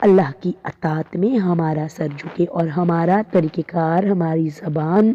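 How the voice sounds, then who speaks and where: Against noticeable background noise, a woman talks in a fairly low pitch with fairly even intonation. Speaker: Islamic preacher. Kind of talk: religious sermon (bayan).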